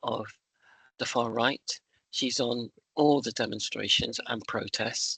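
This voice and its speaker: With a bright, sharp tone and a dry, close sound with no echo, the speaker moves at a fairly slow pace with fairly even intonation. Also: man. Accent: West Country. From West Country, England. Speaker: trade union member speaker. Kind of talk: talk at an online union meeting.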